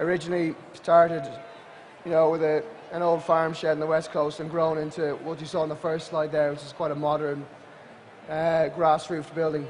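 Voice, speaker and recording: With an Irish accent, a man speaks at a fairly quick pace and fairly high pitch, his intonation monotone and flat, his loudness swinging widely, over noticeable background noise. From Ireland, Atlantic coast. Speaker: adventure company social media director and outdoor instructor. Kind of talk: conference talk to an audience.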